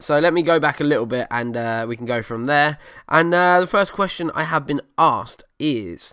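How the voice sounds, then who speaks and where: A bright, sharp tone delivered at a moderate pace with ordinary pitch variation. The recording is very clean, with a silent background. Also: man, fairly high pitch for a man. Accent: Essex. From Essex, England. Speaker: car podcast host. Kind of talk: casual solo podcast. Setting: home living room desk. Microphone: new USB desk microphone.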